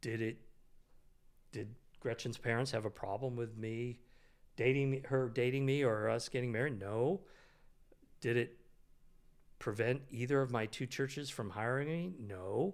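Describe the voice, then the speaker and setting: A man with an American accent at a medium pitch and moderate pace, ordinary pitch variation, and long, frequent pauses. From US West Coast, Sacramento. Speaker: retired pastor. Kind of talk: casual interview. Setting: studio, off headphones.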